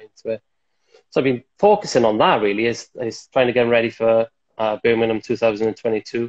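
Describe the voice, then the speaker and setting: A man's medium-pitched, monotone, flat voice with a Welsh accent, at a moderate pace against a quiet background. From Wales. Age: 30s. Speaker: table tennis player and coach; coach. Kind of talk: casual interview chat. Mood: relaxed, reflective. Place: home room. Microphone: earbuds.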